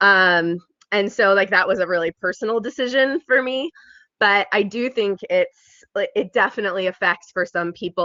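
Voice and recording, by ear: A woman speaks with a fairly bright tone and ordinary pitch variation. The sound is dry and close, with no echo.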